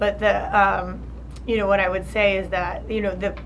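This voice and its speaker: Speaking at a moderate pace in a New Jersey accent, a woman is heard with audible room echo and noticeable background noise. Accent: New Jersey American. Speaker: charity founder. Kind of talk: interview. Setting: college luncheon. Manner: halting, many fillers and restarts.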